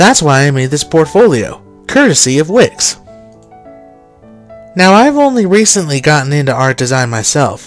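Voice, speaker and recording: Over background music, a man with a fairly high pitch speaks at a moderate pace, his pitch swinging very widely and his speech broken by long, frequent pauses. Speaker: art and design student. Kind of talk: portfolio presentation voice-over.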